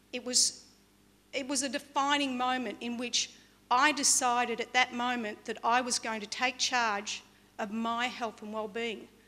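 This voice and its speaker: Delivered at a fairly slow pace in an Australian accent, the voice has a bright, sharp tone and monotone, flat intonation. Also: woman, high pitch for a woman. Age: 50s. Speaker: motivational speaker. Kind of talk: motivational talk. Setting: stage with audience. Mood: earnest, reflective storytelling. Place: stage. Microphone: podium.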